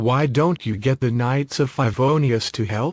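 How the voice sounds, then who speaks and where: A man uses a put-on character voice at a medium pitch, with a calm tone and a moderate pace. The recording is very clean, with a silent background. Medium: video game. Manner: calm, understated.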